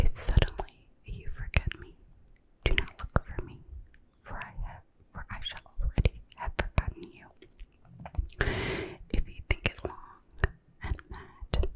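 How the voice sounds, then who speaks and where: A woman whispers at a fairly slow pace, with long, frequent pauses, big swings in loudness and noticeable background noise. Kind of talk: poetry reading. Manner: soft-spoken, whispering.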